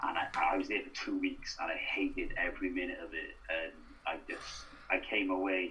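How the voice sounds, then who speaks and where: Audible room echo surrounds a man's voice. He speaks at a moderate pace with a South Wales accent. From Wales, Newport. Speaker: actor and writer. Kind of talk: casual interview.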